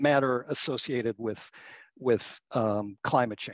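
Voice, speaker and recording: Over music in the background, a man talks with ordinary pitch variation in a dry, close sound with no echo. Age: 60s. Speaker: communications agency partner, former foundation executive. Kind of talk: interview.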